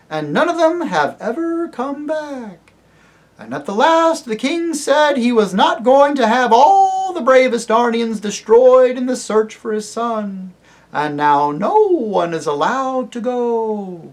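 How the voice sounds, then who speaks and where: Putting on a character voice, this man reaches an extremely high pitch while talking at a fairly slow pace. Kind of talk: comic impression. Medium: read story.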